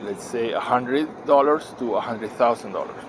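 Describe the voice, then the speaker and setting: There is noticeable background noise behind this man's voice. He talks at a medium pitch with fairly even intonation. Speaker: finance video maker. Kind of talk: tutorial. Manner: slow; halting.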